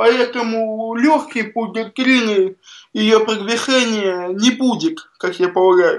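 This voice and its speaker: A man with a high voice talks at a very slow pace with ordinary pitch variation. The background is quiet. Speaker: science fiction writer. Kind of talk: radio interview.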